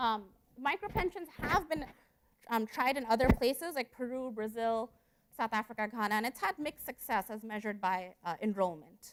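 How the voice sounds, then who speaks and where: A woman speaks in a fairly high voice with lively intonation. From India, moved to US at 12. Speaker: economics researcher. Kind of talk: conference presentation. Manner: fast; hesitant fillers.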